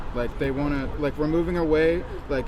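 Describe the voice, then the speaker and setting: Over noticeable background noise and audible room echo, a man speaks at a fairly quick pace with a fairly high pitch and fairly even intonation. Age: 20s. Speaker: student interviewer. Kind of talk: casual interview.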